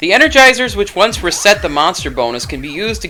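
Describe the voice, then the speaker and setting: Music plays in the background. The speaking pace is fairly quick. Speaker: game reviewer. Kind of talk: video game review narration. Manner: cheeky, jokey.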